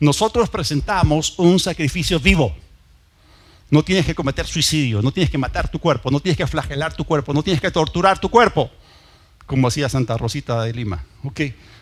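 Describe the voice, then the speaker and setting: With vocal fry and lively intonation, a man speaks at a fairly high pitch and a fairly quick pace. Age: 60s. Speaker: pastor. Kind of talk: sermon.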